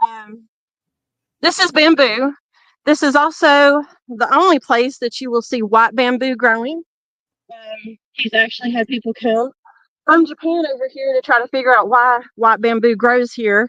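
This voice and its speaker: A woman with a Southern US accent, high in pitch and bright and sharp in tone, in a dry, close sound with no echo. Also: ordinary pitch variation, moderate pace. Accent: southern twang. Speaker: tour guide at a paranormal shrine. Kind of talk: guided walking tour on a live stream. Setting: outdoors at dusk.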